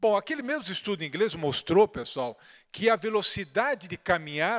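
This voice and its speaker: A man speaks at a moderate pace with a high pitch and very wide swings in it. The sound is dry and close, without echo. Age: 60s. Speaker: orthopedic surgeon lecturer. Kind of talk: conference lecture. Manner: conversational, informal.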